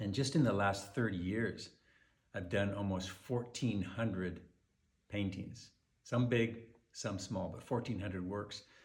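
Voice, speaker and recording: In a room with audible echo, a man with a fairly low, somewhat breathy voice speaks fairly slowly and with fairly even intonation, pausing long and often. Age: 60s. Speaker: wildlife painter. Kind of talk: personal message to collectors. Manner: casual, conversational with fillers.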